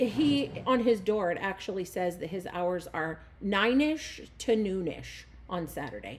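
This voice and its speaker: A woman with lively intonation uses an ordinary speaking voice at a medium pitch. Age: 40s. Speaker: podcast host. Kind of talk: casual chat.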